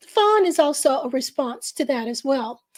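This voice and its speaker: A woman speaks at a high pitch, her voice showing ordinary pitch variation. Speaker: naturopath and podcast host. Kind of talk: live-streamed casual talk show. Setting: live stream.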